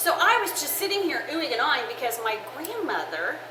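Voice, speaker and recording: A woman's raised, projected voice at an extremely high pitch, with very wide pitch swings, audible room echo and noticeable background noise. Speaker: church women's ministry cooking show host. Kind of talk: casual cooking show chat. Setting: kitchen with oven fans running. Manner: loud; chatty, with fillers.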